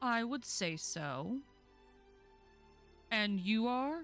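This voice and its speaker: A woman performs a put-on character voice at fairly high pitch. Faint music plays in the background. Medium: actual play.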